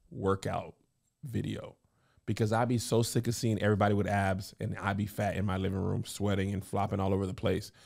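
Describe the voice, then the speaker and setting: Over a quiet background, a man with a fairly low pitch talks at a fairly quick pace in an animated tone. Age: 40s. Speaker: comedian and podcast host; podcast co-host. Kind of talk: casual chat. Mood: playful, joking. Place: studio. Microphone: studio mic.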